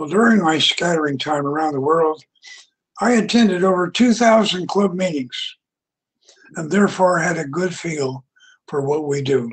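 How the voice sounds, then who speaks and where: A man speaks in a high pitch at a moderate pace. He leaves long, frequent pauses. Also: ordinary pitch variation, quiet background. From US West, Utah. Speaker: retired engineer and club speaker; speaker. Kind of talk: prepared speech. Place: home room. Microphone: headset.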